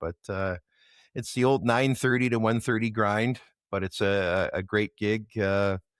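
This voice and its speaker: In a very clean recording with a silent background, a man speaks at a moderate pace in an unremarkable speaking voice with ordinary pitch variation. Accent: Canadian. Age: 60s. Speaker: bar-circuit rock musician. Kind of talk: casual interview chat.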